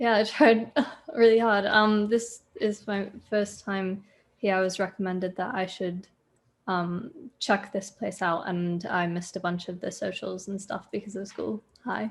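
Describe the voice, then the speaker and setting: A woman talks fairly slowly at a medium pitch with fairly even intonation. Her voice is somewhat breathy. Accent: American. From Oregon, near Roseburg. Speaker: student. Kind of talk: casual chat. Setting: video call. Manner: halting, many fillers.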